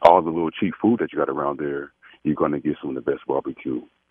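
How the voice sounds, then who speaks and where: A man speaks with an American accent. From Kansas City. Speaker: radio call-in caller. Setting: phone.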